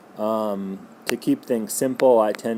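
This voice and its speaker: A man's speech comes through with noticeable background noise behind it. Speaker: physics teacher. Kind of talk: lecture. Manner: loud.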